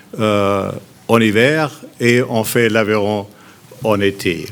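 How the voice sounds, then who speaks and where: A man speaks at medium pitch. His pace is very slow. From Germany, Heidelberg. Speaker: businessman, new club owner. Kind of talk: formal speech. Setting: press conference. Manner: halting.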